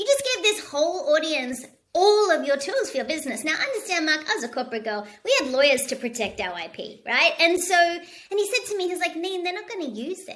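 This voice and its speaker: A woman with an Australian accent, extremely high pitch, very wide pitch swings, an animated tone and a very fast pace. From Australia, Sydney. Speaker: leadership speaker. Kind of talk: interview. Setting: home studio.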